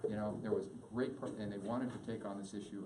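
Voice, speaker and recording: With an American accent, the speaker talks at a fairly quick pace with ordinary pitch variation, amid audible room echo and noticeable background noise. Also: man. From California, Santa Cruz. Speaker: hospital executive and guest speaker. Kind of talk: talk to a support group meeting. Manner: fast.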